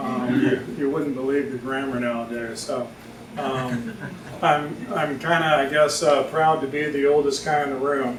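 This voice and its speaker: Against audible room echo and noticeable background noise, a man speaks at a fairly slow pace and a fairly high pitch, with fairly even intonation. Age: 60s. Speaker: writer. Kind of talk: reading aloud. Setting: stage with audience. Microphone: no microphone.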